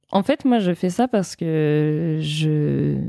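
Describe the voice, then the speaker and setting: Very deep and low in pitch, the woman's voice has a dark, mellow tone. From France, Brittany (Vannes). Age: 20s. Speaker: entrepreneur, founder of women's wellness brand. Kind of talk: casual interview.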